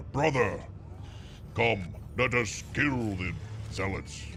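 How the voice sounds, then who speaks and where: Doing a put-on character voice, a man with a fairly low pitch speaks at a very slow pace over clear background noise. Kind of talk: archaic, martial. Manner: gruff.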